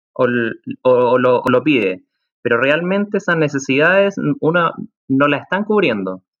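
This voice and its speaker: A man with fairly high pitch swings his voice very widely up and down while keeping a fairly slow pace. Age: 30s. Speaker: project consultant, former business analyst. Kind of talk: interview conversation.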